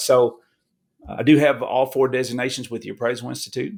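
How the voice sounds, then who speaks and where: Talking very fast, a man speaks with a Kentucky accent. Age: 40s. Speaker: appraiser. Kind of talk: podcast interview. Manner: casual, repetitive restarts.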